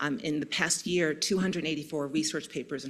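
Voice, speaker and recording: A woman speaks at a very fast pace with a very deep, low pitch. The recording is very clean, with a silent background. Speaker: neurologist. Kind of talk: conference talk. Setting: stage with audience.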